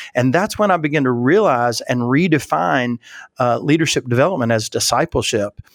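With an Appalachian accent, a man speaks at a medium pitch and lively intonation. The recording is very clean, with a silent background and a dry, close sound with no echo. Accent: Southern US (Appalachian). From West Virginia, US. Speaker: leadership consultant and church leadership expert. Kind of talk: interview conversation.

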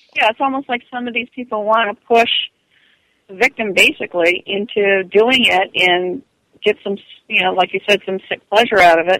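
In a normal speaking voice, a woman talks at a moderate pace and medium pitch, with ordinary pitch variation and big swings in loudness. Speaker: advocate against online abuse. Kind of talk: casual interview.

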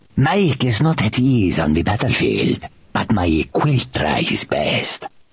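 Putting on a character voice, a man speaks at medium pitch and a fairly slow pace, his pitch swinging very widely. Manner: timid, reluctant.

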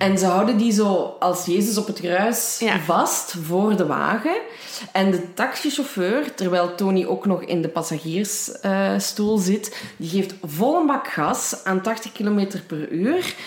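A woman at a medium pitch with a slight Limburg accent, very slow, with noticeable background noise and audible room echo. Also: ordinary pitch variation. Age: 20s. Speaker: true crime podcast co-host. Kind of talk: casual true crime storytelling. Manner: halting, many fillers.

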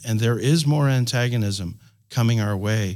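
On a very clean recording with a silent background, a man with a medium pitch speaks fairly slowly in an ordinary speaking voice, his pitch varying in an ordinary way. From Canada. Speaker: pastor and ministry network leader. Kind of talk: panel discussion. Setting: studio.

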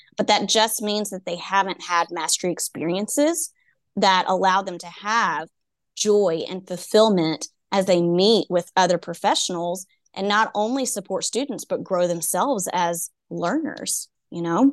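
Speaking at a fairly slow pace with a Texan accent, a woman is heard in a dry, close sound with no echo against a quiet background. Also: medium pitch for a woman, ordinary pitch variation. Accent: Texan (US Southern). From East Texas. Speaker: education consultant and coach. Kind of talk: casual interview.

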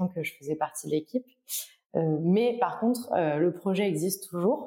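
This woman's voice sits fairly low. It carries a dark, mellow tone. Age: 20s. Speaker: data analyst in climate finance. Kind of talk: casual interview. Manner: halting, many repeated words.

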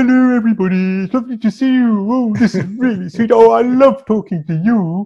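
A put-on character voice, fairly high in pitch, with hardly any pauses. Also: fairly quick pace. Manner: warm, friendly.

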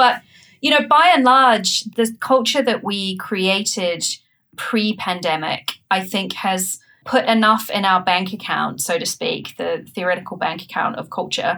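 A woman with a New Zealand accent speaks at a fairly slow pace. Her tone is bright and sharp, and her intonation is lively. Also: medium pitch for a woman. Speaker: startup founder and CEO. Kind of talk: interview.

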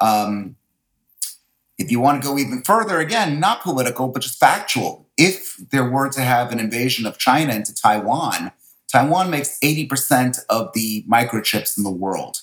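Energetic in tone, a man speaks at medium pitch with lively intonation. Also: moderate pace. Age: 50s. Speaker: real estate agent. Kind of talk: interview.

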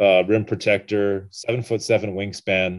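Against a quiet background, a man talks at a moderate pace with a fairly low pitch. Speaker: sports reporter. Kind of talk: interview. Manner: low-key, even.

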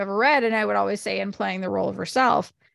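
A woman with a Canadian accent talks at a very fast pace with vocal fry over a quiet background. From Canada, Ontario. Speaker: podcast co-host and book reviewer. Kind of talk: casual chat.

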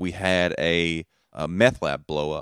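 The speaker talks with a Southern US accent. The recording is very clean, with a silent background. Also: man, dry, close sound with no echo. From Alabama, US South. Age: 20s. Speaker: comedian. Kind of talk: casual chat.

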